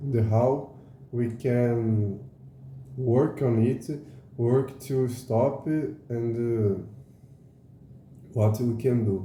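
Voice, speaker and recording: A man with a Portuguese accent speaks very slowly at a medium pitch, his tone dark, mellow and somewhat breathy. His intonation stays fairly even, with long, frequent pauses and audible room echo. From Brazil. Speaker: educational YouTuber. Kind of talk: casual explainer monologue. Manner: halting, many fillers.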